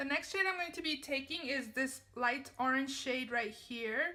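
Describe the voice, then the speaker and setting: A woman speaks in a high pitch with a bright, sharp tone and a raised, projected voice. Her intonation is lively and her pace moderate. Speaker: beauty vlogger. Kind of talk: tutorial.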